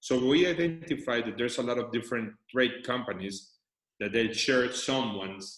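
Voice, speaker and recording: A man with a non-native accent, at a moderate pace. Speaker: company CEO. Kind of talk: business presentation.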